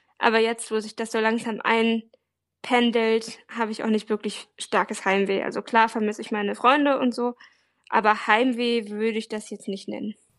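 A woman talks at a moderate pace against a quiet background. Her fairly high voice has monotone, flat intonation. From Hanover, northern Germany. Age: 20s. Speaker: blind volunteer abroad, student. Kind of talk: interview.

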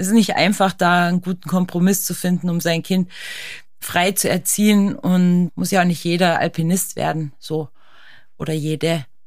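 A woman with a normal speaking voice, fairly low pitch and fairly even intonation, at a moderate pace, in a very clean recording with a silent background. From Austria. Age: 40s. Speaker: ice climbing champion and alpinist. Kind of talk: casual interview. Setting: studio.

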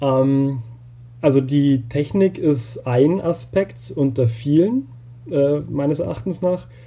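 At a very slow pace, a man with a fairly high, somewhat breathy voice speaks with ordinary pitch variation. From Bavaria (Upper Palatinate). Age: 30s. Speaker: doctoral researcher in photography education. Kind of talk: interview. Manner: hesitant, many fillers.

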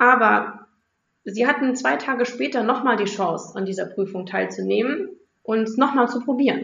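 At a moderate pace, a woman speaks with a fairly high pitch and vocal fry. Her intonation is lively. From Rhineland-Palatinate, Germany. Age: 30s. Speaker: primary school teacher. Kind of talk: interview for a children's podcast.

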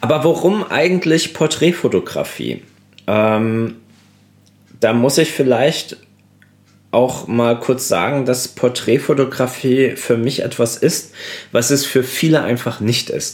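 This man's delivery is very slow. Long pauses come often. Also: medium pitch for a man, ordinary pitch variation. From Germany, Koblenz (Rhineland-Palatinate). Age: 30s. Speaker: portrait photographer, podcast host. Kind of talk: solo podcast monologue. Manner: casual, many filler sounds.

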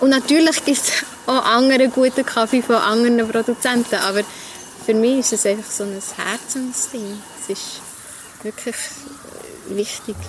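A woman speaks at a moderate pace in a fairly high voice, her intonation fairly even. Long pauses come often, over noticeable background noise. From Switzerland, Emmental (Langnau area). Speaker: barista and coffee roaster. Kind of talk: casual interview. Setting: outdoors at a restaurant.

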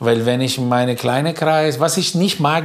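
Fairly slow and fairly high-pitched, a man talks with ordinary pitch variation. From northern Italy, near Como. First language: Italian (speaking German). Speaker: baker. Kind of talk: casual chat.

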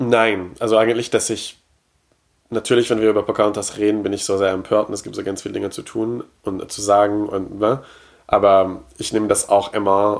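At a moderate pace, a man talks in a fairly low pitch with a monotone, flat intonation. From Quebec. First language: French (speaking German). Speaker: podcast guest, pop culture fan. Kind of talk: casual chat. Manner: halting, repeats words.

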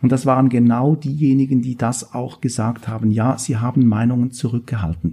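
A man's dark, mellow, somewhat breathy voice at a medium pitch, moderate in pace with hardly any pauses and ordinary pitch variation. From Switzerland. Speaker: political science professor. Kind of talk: interview.

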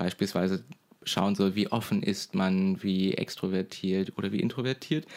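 The voice belongs to a man. Pitch variation in his speech is ordinary. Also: very clean recording, silent background. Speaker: podcast co-host, media student. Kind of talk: casual chat. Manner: hesitant with frequent fillers.

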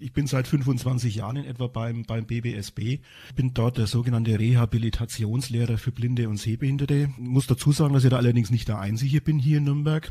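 A man's medium-pitched, somewhat breathy voice, dark and mellow, at a fairly quick pace with hardly any pauses and fairly even intonation. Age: 50s. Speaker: rehabilitation teacher for the blind. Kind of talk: interview. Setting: studio. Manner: hesitant, repeats words.

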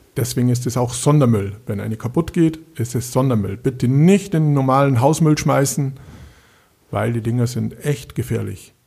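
In a strong Bavarian accent, a man speaks at a moderate pace and medium pitch, his dark, mellow tone somewhat breathy, with ordinary pitch variation. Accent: Bavarian, still strong. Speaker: municipal street lighting engineer. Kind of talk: casual interview.

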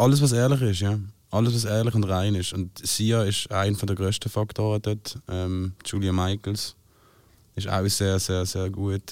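In a very clean recording with a silent background, a man speaks at a fairly slow pace with a fairly low pitch and fairly even intonation. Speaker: singer-songwriter. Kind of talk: casual chat.

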